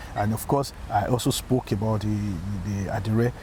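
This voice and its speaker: A man's voice over noticeable background noise. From Nigeria, Lagos. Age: 60s. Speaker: engineer and community activist. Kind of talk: interview. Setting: outdoors.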